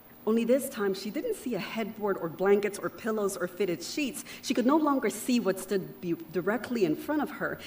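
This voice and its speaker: This woman talks at a moderate pace with hardly any pauses, her fairly high voice rising and falling in a lively way over noticeable background noise. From Panama. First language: Spanish. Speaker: keynote speaker. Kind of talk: keynote speech. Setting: outdoor event with audience. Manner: switches between English and Spanish.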